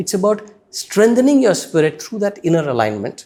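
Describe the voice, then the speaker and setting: A man with an Indian accent, very wide pitch swings and a moderate pace. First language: Hindi. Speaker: spiritual teacher, former corporate executive. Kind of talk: interview.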